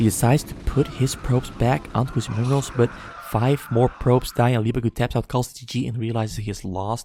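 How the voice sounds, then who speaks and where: This man has a medium-pitched voice with a dark, mellow tone and a non-native accent. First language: not English. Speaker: esports caster. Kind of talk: live commentary. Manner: halting; animated.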